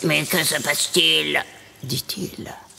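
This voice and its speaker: Very slow speech from a woman, with background music. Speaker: storyteller, poet. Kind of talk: rhythmic declamation of a Christmas tale over piano and percussion. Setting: studio. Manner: rhythmic.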